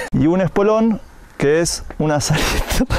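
The recording sounds dry with no echo, over light background noise. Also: man. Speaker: climber explaining terms. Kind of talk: joking mock presentation to camera. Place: open country.

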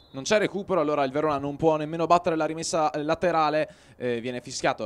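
Against noticeable background noise, a man speaks in an animated tone with ordinary pitch variation. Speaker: sports commentator. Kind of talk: live football commentary. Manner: fast, clipped play-by-play, rattling off names, with hesitant 'eh' fillers; animated, urgent on chances.

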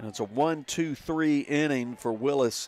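A man's fairly slow, fairly even speech, with a dry sound and no echo. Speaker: radio sports announcer. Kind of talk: sports commentary. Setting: ballpark press box, radio broadcast. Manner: polished, fluent broadcaster delivery. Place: stadium.

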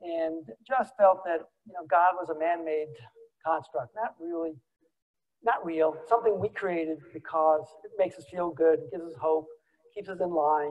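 With long, frequent pauses and big swings in loudness, a man with a high voice talks at a moderate pace and ordinary pitch variation. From New York City (Queens); New York City. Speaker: business executive; guest lecturer. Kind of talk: lecture. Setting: stage with audience. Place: hall.

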